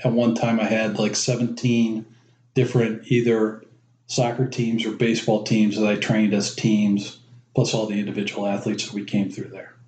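In a Midwestern American accent, a man talks with a monotone, flat intonation. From Cleveland, Ohio. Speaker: father and former youth sports coach. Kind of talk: casual interview.

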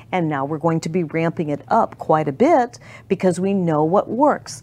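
A woman speaks at a moderate pace with lively intonation. She has an unremarkable speaking voice. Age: 60s. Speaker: talk show host. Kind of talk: casual chat. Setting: studio.

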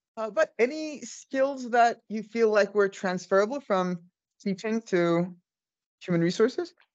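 This woman has a plain, everyday voice with a fairly high pitch. She talks at a fairly slow pace with lively intonation. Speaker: podcast host. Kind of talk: casual interview chat.

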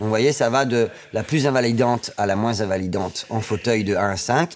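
A man with a plain, everyday voice, at a fairly slow pace. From northern France (Amiens). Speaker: table tennis coach. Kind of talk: interview.

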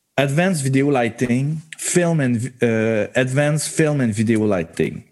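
With a Quebec accent, a man talks using ordinary pitch variation. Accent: Québécois French. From Quebec, Montreal area. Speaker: lighting designer. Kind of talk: research interview.

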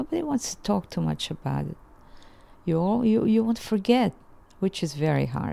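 Moderately paced speech in a Bosnian accent, with long, frequent pauses and big swings in loudness. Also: woman. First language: Ladino or Bosnian. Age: 80s. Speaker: folk singer. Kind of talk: interview, personal life story. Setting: living room at home.

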